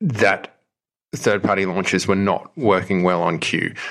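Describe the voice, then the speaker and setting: Against a quiet background, a man with an Australian accent speaks in a fairly low pitch. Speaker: app developer. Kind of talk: casual chat. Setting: video call.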